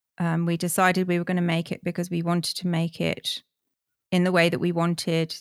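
A woman with a British accent, fairly low in pitch, fairly quick, in a monotone, flat intonation, with a dry, close sound and no echo. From UK. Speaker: artist and filmmaker. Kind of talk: interview. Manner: halting.

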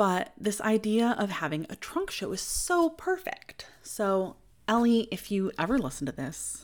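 Over a silent background in a very clean recording, a woman with an American accent sounds warm and upbeat, her intonation lively. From US Midwest. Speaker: podcast host, creative homemaker and small business owner. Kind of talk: solo podcast monologue, personal and reflective. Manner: warm, upbeat, earnest.

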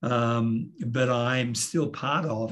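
With an Australian accent, a man speaks in a somewhat breathy voice at a medium pitch. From Australia, Sydney. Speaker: pastor. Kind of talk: interview conversation. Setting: video call.

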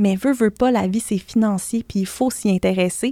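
A woman's dark, mellow tone at a moderate pace, in a dry, close sound with no echo. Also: very clean recording, silent background. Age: 30s. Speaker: blogger and personal finance author. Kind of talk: podcast interview.

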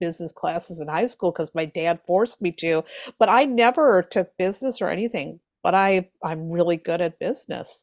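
On a very clean recording with a silent background and a dry, close sound with no echo, a woman with a plain, everyday voice speaks at a moderate pace in a medium pitch with lively intonation. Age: 50s. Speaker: tarot reader and author. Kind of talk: interview.

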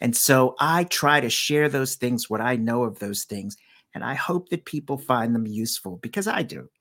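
On a very clean recording with a silent background and a dry, close sound with no echo, a man speaks in an ordinary speaking voice at medium pitch, moderate pace, and ordinary pitch variation. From Washington, D.C. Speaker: storyteller. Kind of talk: casual chat; storytelling.

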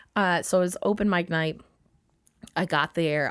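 A woman speaks with an American accent. Her intonation is fairly even. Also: very clean recording, silent background. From US Midwest, northern Minnesota. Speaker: comedian and pastor. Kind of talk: casual interview conversation. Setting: home recording studio.

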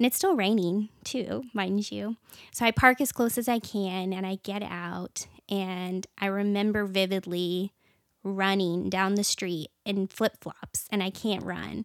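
A woman with an American accent speaks in a normal speaking voice at a medium pitch, fairly slowly and with fairly even intonation. The recording is very clean with a silent background and has a dry, close sound with no echo. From small town in Washington State. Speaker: church member. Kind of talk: casual chat.

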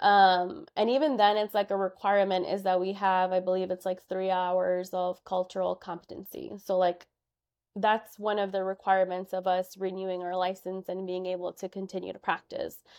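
A woman with a Chicago accent speaks at a moderate pace and a medium pitch in a monotone, flat intonation. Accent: Chicago American English. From Chicago, Albany Park. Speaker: social worker and therapist. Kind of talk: interview.

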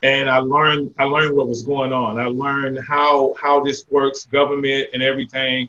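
With an American accent, a man delivers his words at a moderate pace in a fairly high pitch, monotone and flat, with hardly any pauses. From Jacksonville, Florida. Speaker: mayor and retired military veteran. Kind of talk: interview.

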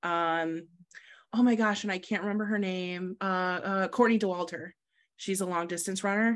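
A plain, everyday voice from a woman at medium pitch, moderate pace, fairly even intonation. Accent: American. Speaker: lacrosse goalkeeper. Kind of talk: casual interview. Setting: video call.

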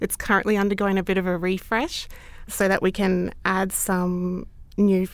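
A woman's medium-pitched voice with an Australian accent in a very clean recording with a silent background. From Brisbane area, Australia. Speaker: library staff member. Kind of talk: interview.

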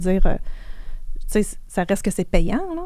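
A woman's dark, mellow voice with lively intonation, on a very clean recording with a silent background. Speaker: financial services entrepreneur. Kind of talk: interview. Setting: studio.

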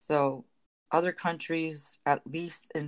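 Fairly even intonation comes through over a quiet background. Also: woman. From Puerto Rico. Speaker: bilingual teacher. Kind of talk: casual chat.

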